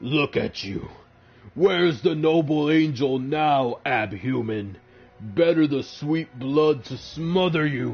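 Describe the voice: A man puts on a growling character voice at a fairly high pitch. He talks at a fairly slow pace.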